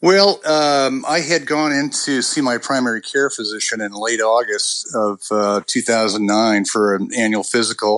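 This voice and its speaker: A man at a fairly slow pace and medium pitch, with ordinary pitch variation and noticeable background noise. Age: 60s. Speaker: patient sharing illness story. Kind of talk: interview.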